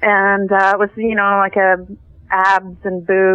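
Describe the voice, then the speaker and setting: The speaker is a woman with a western Canadian accent. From western Canada (Calgary, Vancouver). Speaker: TV writer. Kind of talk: interview.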